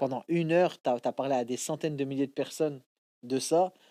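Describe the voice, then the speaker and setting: A man's fairly high pitch at a moderate pace, with ordinary pitch variation, in a very clean recording with a silent background and a dry, close sound with no echo. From France, Maghrebi heritage. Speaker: stand-up comedian. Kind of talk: casual interview chat. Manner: halting, many repetitions.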